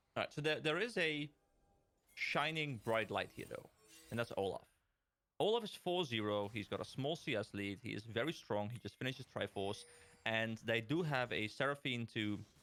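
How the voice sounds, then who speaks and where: A man at a medium pitch over music in the background. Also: lively intonation. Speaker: esports color commentator. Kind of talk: live commentary. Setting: livestream. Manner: fast.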